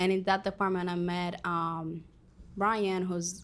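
This woman talks very slowly in a Spanish accent. Her voice is fairly low in pitch, with monotone, flat intonation. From Dominican Republic. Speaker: college student. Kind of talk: casual interview.

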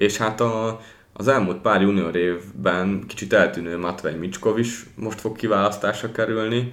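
The pace is fairly slow as a man talks with a fairly low pitch and ordinary pitch variation. Room echo is audible. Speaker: hockey podcast host. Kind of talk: casual chat.

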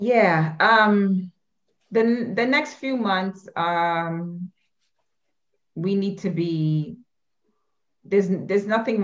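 A woman speaks with a New York accent. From Brooklyn, New York. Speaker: education advocacy director. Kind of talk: casual chat.

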